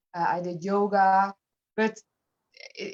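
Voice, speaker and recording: With a Dutch accent, a woman speaks at medium pitch in a dry, close sound with no echo. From Netherlands. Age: 50s. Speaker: fitness program client. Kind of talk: interview.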